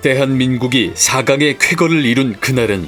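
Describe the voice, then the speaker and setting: Music in the background behind a man's medium-pitched voice, at a fairly slow pace with ordinary pitch variation. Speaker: voice actor. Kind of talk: nostalgic documentary narration.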